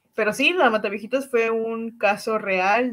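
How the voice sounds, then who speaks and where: A woman talks in a plain, everyday voice at a moderate pace with fairly even intonation. The recording is very clean and the background silent. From Cancún, Mexico. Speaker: podcast co-host. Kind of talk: casual chat.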